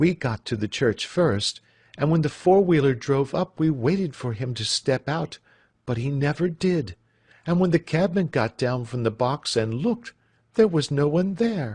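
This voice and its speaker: With an American accent, a somewhat breathy man speaks at a moderate pace, his pitch swinging very widely. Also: dry, close sound with no echo. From United States. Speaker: English teacher. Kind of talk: audiobook reading of classic fiction. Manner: clear.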